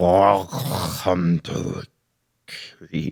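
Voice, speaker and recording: Growling in a put-on character voice, a man speaks at a very deep, low pitch. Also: dry, close sound with no echo. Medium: actual play. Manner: formal, stiff.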